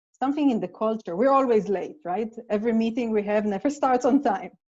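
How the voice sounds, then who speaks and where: Lively intonation marks this woman's fairly high-pitched voice, which has a dark, mellow tone. She moves at a fairly quick pace. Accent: Israeli. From Israel. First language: Hebrew. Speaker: playwright. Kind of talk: casual chat.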